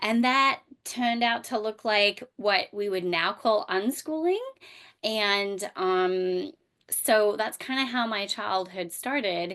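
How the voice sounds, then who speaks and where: The speech moves at a very slow pace with ordinary pitch variation. The background is quiet. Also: woman. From Australia, rural bush. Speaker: homeschooling mom and microschool founder. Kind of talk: podcast interview. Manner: hesitant, many fillers.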